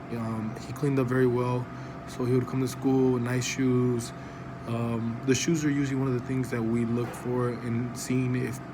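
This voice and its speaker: A man's flat, monotone voice in a Spanish accent, with audible room echo and noticeable background noise. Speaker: school counselor. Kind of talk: mock job interview, self-presentation. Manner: hesitant, many fillers.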